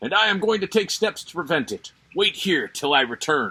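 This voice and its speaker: A man's put-on character voice, high in pitch, with lively intonation, big swings in loudness and a moderate pace. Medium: read story. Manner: regal, good-humored.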